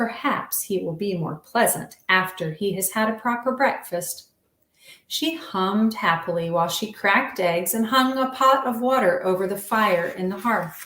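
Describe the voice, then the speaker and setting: A woman with an American accent has an ordinary speaking voice at a medium pitch. Her intonation is lively and her pace moderate. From US South, Virginia. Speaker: children's book author. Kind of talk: reading aloud.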